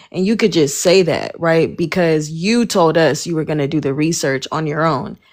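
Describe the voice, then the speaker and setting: A woman talks at a moderate pace with hardly any pauses, in a plain, everyday voice. Her pitch sits fairly low, with ordinary variation. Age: 20s. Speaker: live stream co-host. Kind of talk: heated debate. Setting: social media live stream.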